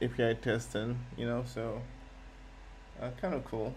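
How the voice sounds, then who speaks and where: A man at medium pitch and a moderate pace, with audible room echo and music in the background. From Nigeria. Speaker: software developer streamer. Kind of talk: live coding stream chat. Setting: live stream. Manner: halting, many repetitions and fillers.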